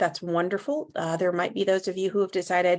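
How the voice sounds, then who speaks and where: A woman's fairly even intonation with a slight Southern US accent. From US South, North Carolina. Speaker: legal tech sales advisor. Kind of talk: webinar presentation. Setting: online webinar. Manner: conversational with filler words.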